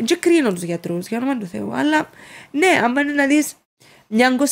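A woman with a high pitch, a Cypriot accent and very wide pitch swings. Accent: Cypriot Greek. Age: 30s. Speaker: social media influencer. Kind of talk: casual interview. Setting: studio.

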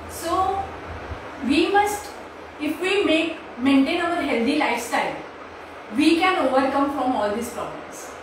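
A high-pitched woman at a fairly slow pace with long, frequent pauses, strong room echo and noticeable background noise. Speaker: naturopathy doctor. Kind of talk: short talk. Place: home room. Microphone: camera far.

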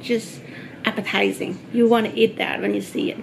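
A woman talks over noticeable background noise. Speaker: home cook vlogger. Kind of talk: casual vlog chat. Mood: cheerful, eager. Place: home room. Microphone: camera far.

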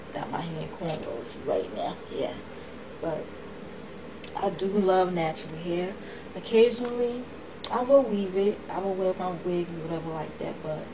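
A woman's speech with long, frequent pauses amid noticeable background noise. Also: ordinary pitch variation, moderate pace. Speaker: vlogger. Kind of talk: casual vlog monologue. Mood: passionate, emphatic. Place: home room. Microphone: webcam.

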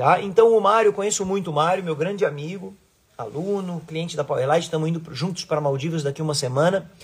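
His voice is high in pitch, varying in an ordinary way. The man delivers his words at a very fast pace. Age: 40s. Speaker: surf coach and surfboard designer; surf coach. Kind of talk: casual live stream talk to followers. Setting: Instagram live video stream. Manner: animated. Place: home room. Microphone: phone near.

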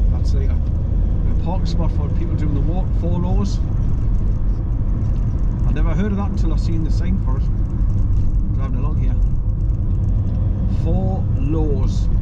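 A man speaks at a fairly slow pace with ordinary pitch variation and long, frequent pauses. Loud background noise runs behind him. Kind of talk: casual driving commentary. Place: car. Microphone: phone near.

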